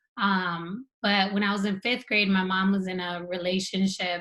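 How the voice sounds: A woman's medium-pitched voice with an American accent, a bright, sharp tone and little pitch movement.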